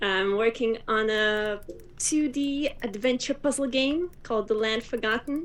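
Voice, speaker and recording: A woman with a Russian accent speaks at a fairly high pitch. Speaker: video game developer and streamer. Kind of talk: casual chat.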